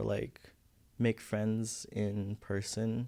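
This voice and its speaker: Fairly low male voice, very clean recording, silent background. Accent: Filipino. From Philippines. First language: Visayan. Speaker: college student. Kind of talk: podcast interview. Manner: halting.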